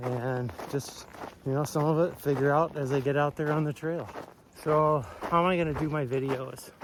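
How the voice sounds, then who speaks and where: Moderately paced male speech, fairly high in pitch with fairly even intonation, amid noticeable background noise. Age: 60s. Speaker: hiker vlogger. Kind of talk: casual vlog talk to camera. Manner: relaxed, with many fillers.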